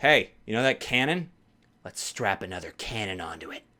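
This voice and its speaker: The man puts on a character voice. He talks at a moderate pace and a medium pitch. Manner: excited, inventive.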